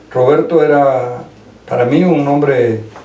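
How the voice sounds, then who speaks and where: A man talks very slowly, his voice carrying audible room echo amid noticeable background noise. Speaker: lawyer, former classmate. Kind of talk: radio interview.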